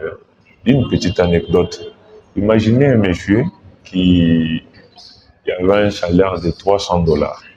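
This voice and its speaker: Music plays behind a man who speaks at a fairly slow pace with ordinary pitch variation. He leaves long, frequent pauses. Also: fairly low pitch for a man. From DR Congo, Mbuji-Mayi. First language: Tshiluba (speaking French). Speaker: political candidate, lawyer. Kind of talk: interview. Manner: formal.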